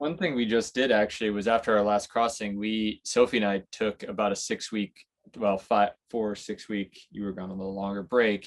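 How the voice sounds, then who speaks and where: A man with an American accent has an unremarkable speaking voice, fairly low in pitch, with fairly even intonation at a moderate pace. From United States. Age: 30s. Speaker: sailor, boat-life vlogger. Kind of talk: interview.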